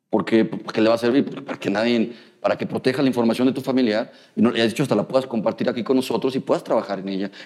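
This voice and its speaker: At a very fast pace, a man with a medium-pitched voice speaks with ordinary pitch variation. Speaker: biomedical engineer and university lecturer. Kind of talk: interview. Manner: halting, frequent repetitions and fillers.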